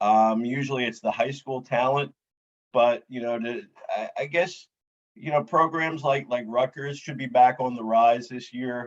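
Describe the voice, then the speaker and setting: A man with a plain, everyday voice speaks at medium pitch and a moderate pace, with fairly even intonation and big swings in loudness. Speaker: podcast host. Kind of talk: casual podcast interview questions.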